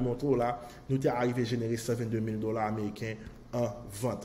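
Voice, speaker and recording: At a moderate speed and a medium pitch, a man speaks through noticeable background noise. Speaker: online marketing course promoter. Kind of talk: sales pitch.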